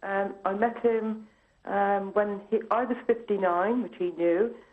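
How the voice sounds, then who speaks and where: Her voice is fairly high with ordinary pitch variation, an unremarkable speaking voice from a woman. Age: 60s. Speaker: caller. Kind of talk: phone-in call. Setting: phone call.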